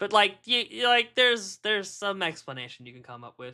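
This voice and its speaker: A man projects a raised, high voice with a bright, sharp tone. He keeps a moderate pace in a very clean recording with a silent background. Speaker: streamer reading chat. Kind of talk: casual live-stream chat. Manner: halting, many restarts.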